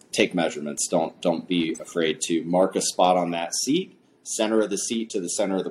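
This man has a very deep, low pitch and fairly even intonation, and he moves at a moderate pace. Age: 30s. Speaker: cycling coach and bike fitter. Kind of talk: casual interview. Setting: studio.

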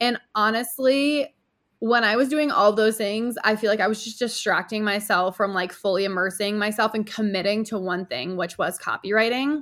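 At a moderate pace, a woman with an American accent speaks at a fairly high pitch with ordinary pitch variation. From upstate New York. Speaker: copywriter and business owner. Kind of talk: casual interview.

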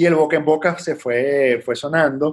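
A man speaks in a normal speaking voice, fairly high-pitched for a man, with fairly even intonation, on a very clean recording with a silent background. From Venezuela (Puerto Ordaz, Caracas). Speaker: entrepreneur, restaurant franchise founder. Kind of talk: casual interview.

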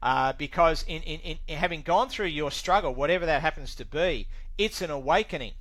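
With an Australian accent, a man speaks at a fairly quick pace in a high pitch, with ordinary pitch variation. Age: 60s. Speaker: recovering alcoholic, former electronics technician. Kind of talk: interview testimony. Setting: video call.

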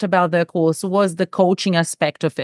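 A woman with a Portuguese accent talks at a moderate pace. The sound is dry and close, with no echo and a quiet background. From Brazil. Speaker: executive coach. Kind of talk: casual chat.

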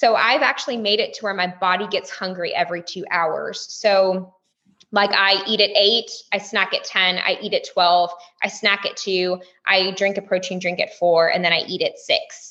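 At a moderate pace, a woman talks with a Texas accent. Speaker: stay-at-home mom and businesswoman. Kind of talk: casual interview chat.

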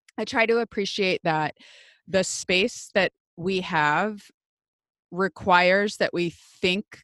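A woman with a Midwestern US accent speaks at a medium pitch, in a dry, close sound with no echo, on a very clean recording with a silent background. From US Midwest. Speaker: podcast host. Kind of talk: interview conversation.

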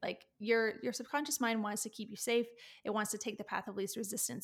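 A woman's fairly high voice with a Canadian accent and fairly even intonation, on a very clean recording against a silent background. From Canada. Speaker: confidence and mindset coach. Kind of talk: podcast interview.

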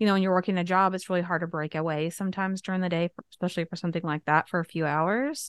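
A woman speaks in a plain, everyday voice, fairly low in pitch, with ordinary pitch variation. The sound is dry and close with no echo, over a quiet background. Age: 40s. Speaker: podcast host, widow coach. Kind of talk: interview.

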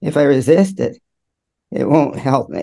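A man speaks at a fairly slow pace in a dark, mellow tone, his medium-pitched voice carrying vocal fry.

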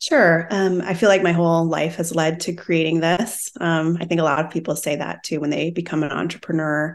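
With an American accent, a woman in an ordinary speaking voice talks at a fairly quick pace with hardly any pauses, her fairly low pitch following fairly even intonation over a quiet background. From Minnesota. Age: 40s. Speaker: wellness business founder. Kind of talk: casual interview.

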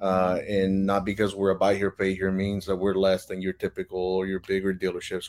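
Delivered at a fairly quick pace, a man's very deep, low voice with a Spanish accent comes through on a very clean recording with a silent background. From Mexico, Monterrey. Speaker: car dealer. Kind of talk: interview. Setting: live video stream.

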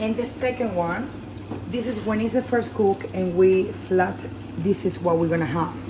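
Against noticeable background noise, a woman with a Venezuelan accent speaks at a moderate pace, medium in pitch with ordinary variation. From Venezuela (Maracaibo). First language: Spanish. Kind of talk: cooking demonstration.

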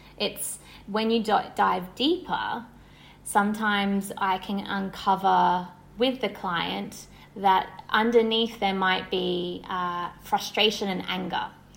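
A woman with an Australian accent, medium pitch, fairly even intonation and a very slow pace. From Australia, Sydney. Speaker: wellness entrepreneur and somatic therapist. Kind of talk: casual interview.

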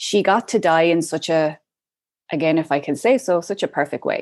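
A woman with an Irish accent speaks at a moderate pace and a fairly low pitch against a quiet background. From Ireland. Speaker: death doula. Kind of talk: interview.

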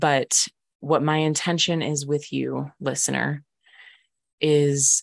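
Against a quiet background, a woman speaks in a very deep, low voice, the sound dry and close with no echo. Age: 20s. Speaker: mindset and healing coach, podcast host. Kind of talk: casual monologue.

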